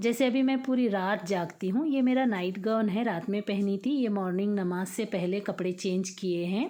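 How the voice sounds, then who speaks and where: This woman's voice has a dark, mellow tone at a medium pitch, with ordinary pitch variation. Her loudness stays very even, and she leaves hardly any pauses. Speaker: home vlogger, mother. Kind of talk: casual vlog talk. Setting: at home, early morning. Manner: conversational, hesitant fillers.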